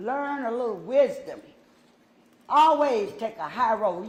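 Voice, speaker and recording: A woman speaks at a fairly slow pace in a high voice, her intonation lively and her loudness swinging widely, with audible echo in the room. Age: 60s. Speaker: city council member. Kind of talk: statement at council meeting. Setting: council chamber. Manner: emotional.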